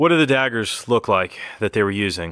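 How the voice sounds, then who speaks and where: A man puts on a raspy character voice at medium pitch, speaking at a fairly quick pace with lively intonation in a very clean recording with a silent background. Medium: actual play. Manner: stuttering.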